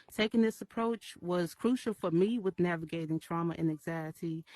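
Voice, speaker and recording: A woman with a Memphis accent at a medium pitch and fairly quick pace, her intonation fairly even, in a dry, close sound with no echo. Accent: Southern US (Memphis). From US South, Memphis, Tennessee. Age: 30s. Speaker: artist, summit speaker. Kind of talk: short prepared talk. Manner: hesitant, many fillers; voice shakes when nervous.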